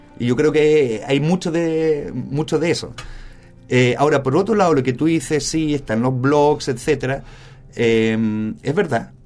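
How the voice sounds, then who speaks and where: In an unremarkable speaking voice, someone talks at a fairly slow pace with ordinary pitch variation. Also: man, fairly high pitch for a man. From Germany and Spain. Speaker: media specialist. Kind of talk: casual interview.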